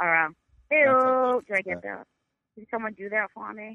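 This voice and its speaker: A woman's fairly high voice with a Boston accent and very wide pitch swings. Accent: thick Boston. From North Shore near Boston. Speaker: podcast guest.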